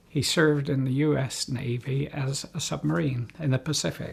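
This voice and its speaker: Somewhat breathy, the voice speaks in a West Country accent with ordinary pitch variation. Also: man. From England, South Gloucestershire. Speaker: war veteran's family member, interviewee. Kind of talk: oral history interview.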